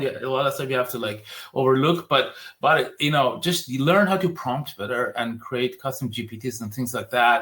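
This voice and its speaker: Speaking at a fairly quick pace with a non-native accent, a man keeps a medium pitch with ordinary pitch variation. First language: not English. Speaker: digital marketing agency founder. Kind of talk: podcast interview.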